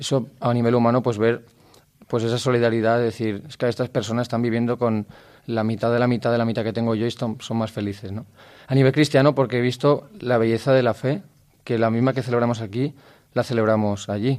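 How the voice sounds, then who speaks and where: A man talks at a fairly quick pace. His intonation is flat and monotone. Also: very clean recording, silent background. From Valencia region, Spain (Gandía). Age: 20s. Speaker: seminarian. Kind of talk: radio interview. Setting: radio recording in a seminary.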